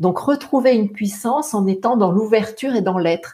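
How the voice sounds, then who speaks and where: A woman's dark, mellow, somewhat breathy voice at a fairly slow pace. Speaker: singer and voice teacher. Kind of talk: interview. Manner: halting.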